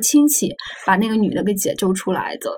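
Over noticeable background noise, a woman talks at a fairly quick pace. Her pitch is fairly high, with ordinary variation. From northern Anhui, near Xuzhou. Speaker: magazine journalist. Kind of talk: podcast interview conversation.

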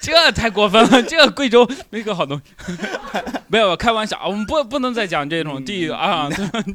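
Over noticeable background noise, a man with a high pitch talks at a fairly quick pace in a raised, projected voice, his pitch swinging very widely. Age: 20s. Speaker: stand-up comedian and podcast host. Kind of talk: casual chat. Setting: live recording with small audience.

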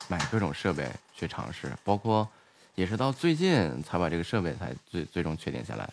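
At a moderate pace, a man speaks in a very deep, low pitch with vocal fry and very wide pitch swings. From Inner Mongolia (Baotou). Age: young. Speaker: livestream host and designer. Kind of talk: casual chat. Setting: livestream voice connection. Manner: friendly, chatty.

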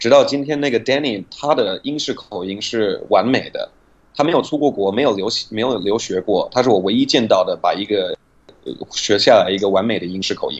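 A man with a slight non-native accent talks at a fairly quick pace. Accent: near-native Mandarin. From United States. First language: English (speaking Chinese). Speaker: English pronunciation teacher. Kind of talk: interview about language learning.

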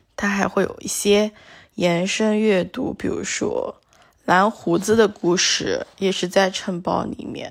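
On a very clean recording with a silent background, the words come very slowly. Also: woman. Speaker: solo podcaster. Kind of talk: casual monologue. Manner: relaxed, with many fillers.

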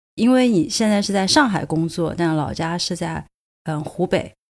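At a moderate pace, a woman with a fairly low pitch and ordinary pitch variation speaks in an unremarkable speaking voice, captured in a very clean recording with a silent background. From Sichuan, China. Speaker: podcast host. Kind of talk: casual chat.

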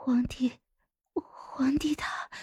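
A woman whispers in a put-on character voice with a husky, rough edge, at a very slow pace. The sound is dry and close, with no echo.

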